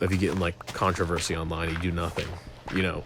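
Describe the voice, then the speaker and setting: A man's very deep, low voice at a very fast pace over noticeable background noise. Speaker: gaming YouTuber. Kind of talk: casual monologue while gaming. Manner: halting.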